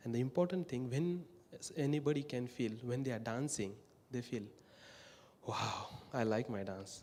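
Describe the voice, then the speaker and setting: Talking at a moderate pace with long, frequent pauses, a man with an Indian accent uses a medium pitch and ordinary pitch variation. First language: not English (English is fourth language). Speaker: peace camp worker. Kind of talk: talk at worship service.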